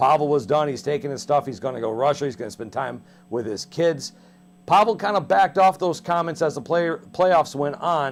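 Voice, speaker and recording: A man with an ordinary speaking voice talks at a fairly quick pace and fairly high pitch, his intonation lively. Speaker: TV sports show host. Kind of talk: sports interview, host questions. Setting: TV studio.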